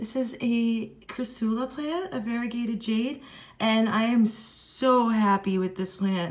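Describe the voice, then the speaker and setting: This woman's voice sits fairly high. Her pitch varies in an ordinary way. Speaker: plant YouTuber. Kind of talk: casual unboxing vlog. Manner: animated.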